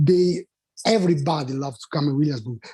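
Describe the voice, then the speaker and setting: This is a man's voice. His pitch sits fairly high and varies in an ordinary way. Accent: Italian. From Italy. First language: Italian. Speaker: restaurant owner. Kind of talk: public testimony. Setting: remote video meeting. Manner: halting.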